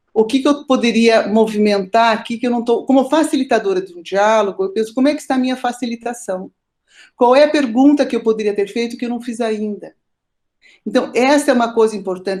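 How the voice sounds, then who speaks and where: The speaker moves at a fairly quick pace. The pitch varies in an ordinary way. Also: woman. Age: 60s. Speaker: family therapist and lecturer. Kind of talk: online class lecture.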